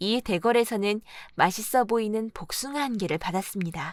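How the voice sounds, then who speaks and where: On a very clean, dry and close recording with a silent background and no echo, a woman speaks in a normal speaking voice at a fairly high pitch, keeping a moderate pace with ordinary pitch variation. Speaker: audiobook narrator. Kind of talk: audiobook fairy tale reading.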